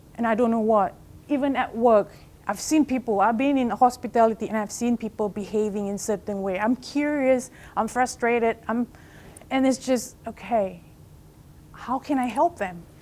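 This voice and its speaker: The speaker is a woman with a non-native accent. Her voice sits fairly high. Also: ordinary pitch variation, moderate pace. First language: not English. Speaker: life coach. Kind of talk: motivational talk. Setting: stage with audience.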